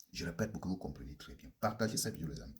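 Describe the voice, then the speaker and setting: A man's voice with vocal fry. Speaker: political commentator. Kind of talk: casual commentary video. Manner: animated.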